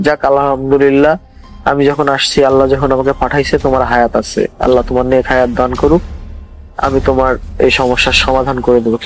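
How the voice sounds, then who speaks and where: Over music in the background, a man talks at a medium pitch in a monotone, flat delivery with very even loudness. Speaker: guest sharing a supernatural experience. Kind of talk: casual spoken storytelling to a radio host.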